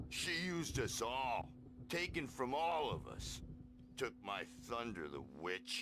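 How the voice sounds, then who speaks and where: A man does a put-on character voice at a medium pitch and a fairly slow pace. Loud background noise runs underneath. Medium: video game. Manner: hippie slang, gruff.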